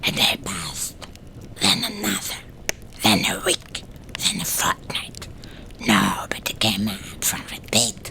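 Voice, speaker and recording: A whispering, put-on character voice at a fairly slow pace, broken by long, frequent pauses. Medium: read story. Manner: rambling, folksy.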